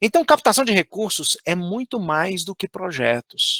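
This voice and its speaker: A man with a Minas Gerais accent speaks in a bright, sharp tone with lively intonation, recorded dry and close with no echo. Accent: Minas Gerais accent, unchanged. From Brazil, Minas Gerais. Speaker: fundraising trainer. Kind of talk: online course lecture.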